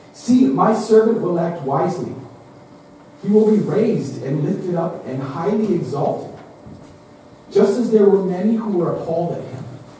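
Amid strong room echo and light background noise, a man speaks at a moderate pace with lively intonation and long, frequent pauses. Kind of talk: liturgical prayer and scripture reading. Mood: solemn. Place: church.

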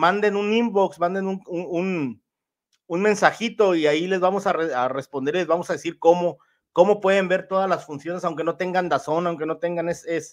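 Man's high-pitched, animated voice at a moderate pace, with ordinary pitch variation and a quiet background. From northwest Mexico (Sinaloa/Sonora); Mexico. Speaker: boxing commentator. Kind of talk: casual livestream boxing analysis. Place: home room. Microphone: studio mic.

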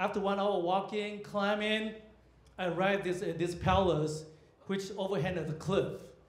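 Amid audible room echo, a man talks at a moderate pace in a high pitch with fairly even intonation. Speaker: comedian. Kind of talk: stand-up comedy set at a comedy club. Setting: stage with audience. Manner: storytelling build-ups punctuated by abrupt punchlines; halting, filler-heavy delivery with frequent uhs and restarts. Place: stage.

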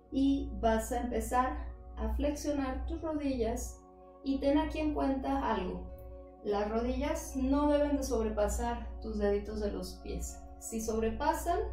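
Faint music sits in the background as a woman speaks at a very slow pace with audible room echo. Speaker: yoga instructor. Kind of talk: guided exercise instruction. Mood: calm, guiding. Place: home room. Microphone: camera far.

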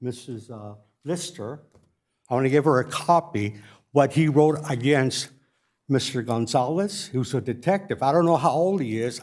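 The speaker has a plain, everyday voice. Intonation is lively and the pace moderate. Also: man, fairly high pitch for a man. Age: 60s. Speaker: war veteran speaking at public comment. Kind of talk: public comment. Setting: city council chamber.

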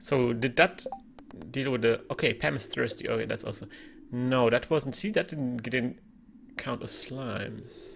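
A man speaks at a moderate pace while light background noise hums underneath. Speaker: gaming streamer. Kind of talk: casual gameplay commentary. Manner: animated, chatty. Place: home room.

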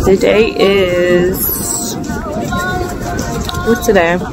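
Loud music plays in the background, and the sound is dry with no echo. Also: woman. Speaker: vlogger. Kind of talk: casual vlog chat. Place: beach. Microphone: phone near.

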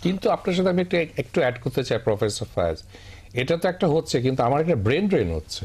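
With vocal fry and lively intonation, a man talks at a fairly high pitch. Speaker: industrialist and alumni association president. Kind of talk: panel discussion.

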